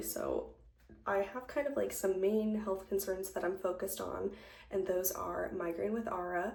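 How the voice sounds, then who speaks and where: Amid noticeable background noise and audible room echo, a soft-spoken woman talks at a moderate pace. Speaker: lifestyle vlogger. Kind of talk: casual chat. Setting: at home, doing makeup on camera.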